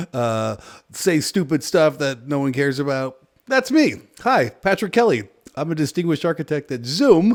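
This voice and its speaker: Loud and at a fairly high pitch, a man speaks at a moderate pace with very wide pitch swings on a very clean recording with a silent background. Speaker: tech YouTuber, software architect. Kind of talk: casual tech video. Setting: home office.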